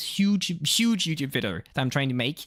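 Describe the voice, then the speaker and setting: A man's bright, sharp tone at a moderate pace. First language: French. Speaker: streamer. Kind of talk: casual chat. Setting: live stream. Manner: code-switching English and French with many fillers.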